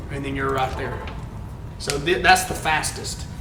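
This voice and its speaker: There is audible room echo and noticeable background noise as a man with a Southern US accent speaks at a moderate pace. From Alabama, US South. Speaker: video game streamer. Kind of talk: live stream gameplay chat. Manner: casual, conversational.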